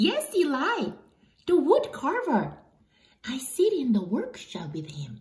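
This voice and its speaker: A female-sounding, put-on character voice is high-pitched with a cheerful tone. It moves at a fairly slow pace with long, frequent pauses. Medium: read story. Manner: cheerful, light.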